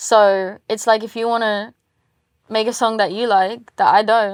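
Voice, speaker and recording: In a very clean recording with a silent background, a woman with an English accent speaks at a fairly slow pace in a fairly high, monotone voice. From England. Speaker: singer-songwriter. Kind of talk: interview. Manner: casual, many fillers.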